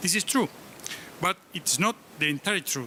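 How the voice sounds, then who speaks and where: A man with a high pitch and an Argentine accent at a moderate pace. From Argentina. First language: Spanish. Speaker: professor. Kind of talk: conference speech. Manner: halting.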